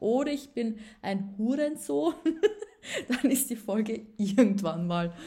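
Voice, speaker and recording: Speaking at a very slow pace with long, frequent pauses, a woman uses lively intonation and a fairly high pitch, her tone dark and mellow and somewhat breathy. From Upper Austria. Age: 20s. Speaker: podcaster. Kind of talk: casual monologue. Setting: home at a table. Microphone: laptop.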